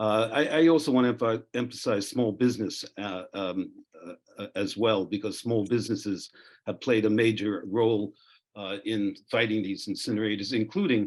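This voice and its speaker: In a New York accent, the speaker talks at a moderate pace with ordinary pitch variation against a quiet background. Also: man, fairly low pitch for a man. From New York City. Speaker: zero-waste expert panelist. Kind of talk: panel talk. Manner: halting, many fillers.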